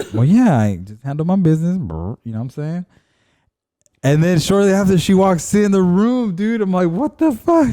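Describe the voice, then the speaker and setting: Pitched high for a man, his dark, mellow voice moves through very wide pitch swings. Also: moderate pace. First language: Spanish. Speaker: podcast co-host. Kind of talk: casual chat.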